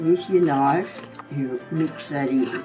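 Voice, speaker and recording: With music playing in the background, a woman speaks with ordinary pitch variation. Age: 90s. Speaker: home baker, Country Women's Association member. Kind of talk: cooking demonstration to camera.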